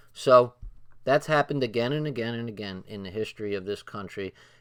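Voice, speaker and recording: An ordinary speaking voice, pitch rising and falling in the usual way, captured in a very clean recording against total silence. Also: man. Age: 40s. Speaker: video streamer reading and commenting on a book. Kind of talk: livestream reading aloud with commentary. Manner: casual, profane.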